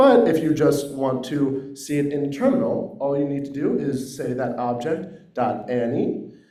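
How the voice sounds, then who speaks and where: At a fairly slow pace, a man speaks in a fairly high pitch with audible room echo. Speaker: workshop participant presenting a software tool. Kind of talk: short project presentation. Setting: workshop room with microphone, also on Zoom. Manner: loud.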